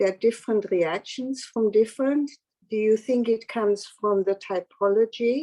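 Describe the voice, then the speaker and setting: Her pitch is fairly high for a woman. The tone is dark and mellow. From Austria. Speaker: audience member. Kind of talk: Q&A question.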